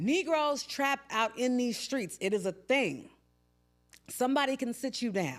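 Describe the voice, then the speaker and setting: A woman speaks loudly in a high voice, animated in tone. Her pace is fairly slow and her intonation lively. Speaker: podcast host. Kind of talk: casual monologue.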